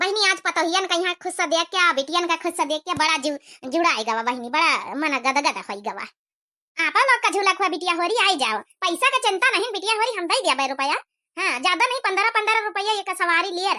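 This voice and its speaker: A cartoonish character voice from a woman, extremely high in pitch, with very wide pitch swings and a fairly quick pace. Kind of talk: rural comedy cartoon. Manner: scolding yet affectionate.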